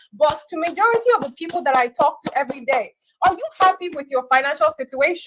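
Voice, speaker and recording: Loud and energetic, a woman talks at a very fast pace. Her pitch is high and her intonation lively. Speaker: online business coach. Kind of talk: live online class.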